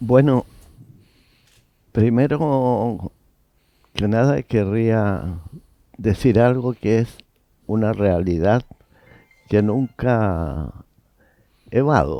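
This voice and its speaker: Very slow, with long, frequent pauses, a man speaks in a dark, mellow tone. His pitch is medium, his intonation lively. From Chile, Santiago. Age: 80s+. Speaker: painter and art academic. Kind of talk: interview. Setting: public library.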